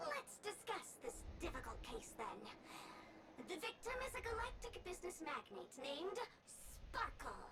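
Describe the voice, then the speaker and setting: A female-sounding, put-on character voice pitched extremely high for a woman, theatrical at a moderate pace. Long, frequent pauses break it up over loud background noise. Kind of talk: comic overacting. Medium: video game. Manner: theatrical, flowery phrasing.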